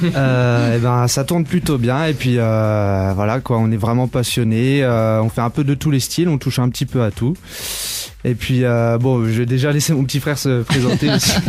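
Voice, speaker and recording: Over noticeable background noise, a man talks at a moderate pace with a medium pitch, ordinary pitch variation and very even loudness. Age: 20s. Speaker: musician, guitarist. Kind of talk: radio interview. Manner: hesitant, many fillers.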